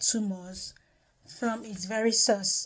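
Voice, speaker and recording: A woman speaks with a Nigerian accent at a fairly slow pace. Her fairly high voice is somewhat breathy, with fairly even intonation. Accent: Nigerian (Yoruba) English. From Nigeria (Yoruba). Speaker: health testimony vlogger. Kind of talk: personal testimony. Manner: hesitant with frequent fillers.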